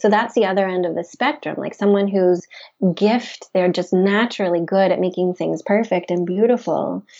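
A woman with an American accent and an ordinary speaking voice speaks at medium pitch and a moderate pace, with fairly even intonation. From US South, Memphis, Tennessee. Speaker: wellness center founder. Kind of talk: interview.

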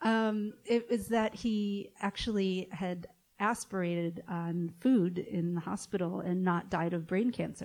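Speaking in an unremarkable speaking voice, a woman keeps a fairly slow pace, medium pitch and fairly even intonation with hardly any pauses. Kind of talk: interview. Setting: stage with audience.

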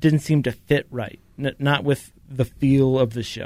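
The speaker has an unremarkable speaking voice. The pace is fairly slow. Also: man. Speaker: radio host. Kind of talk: casual chat. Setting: studio.

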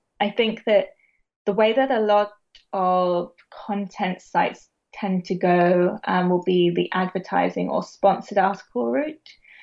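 With a British accent, a woman talks at a medium pitch and a fairly slow pace, using ordinary pitch variation. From England, Bath. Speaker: founder of a vegan media brand. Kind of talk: interview.

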